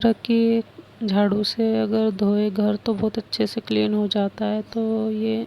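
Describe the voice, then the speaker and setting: A woman speaks over noticeable background noise. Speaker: home vlogger. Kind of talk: voice-over narration of cleaning vlog.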